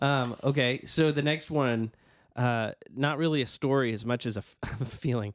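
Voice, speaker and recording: This man speaks at a moderate pace in a medium pitch. His intonation stays fairly even. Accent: American. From US South. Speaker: podcast co-host. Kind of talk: casual chat. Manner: halting.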